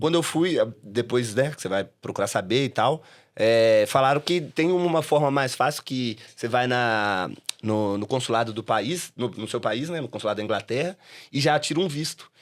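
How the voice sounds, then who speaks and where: A man speaks at medium pitch with lively intonation and a moderate pace. The recording is very clean, with a silent background. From Brazil, Belo Horizonte (Minas Gerais). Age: 30s. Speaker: comedy club owner and stand-up comedian. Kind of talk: podcast interview. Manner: casual, hesitant with repetitions.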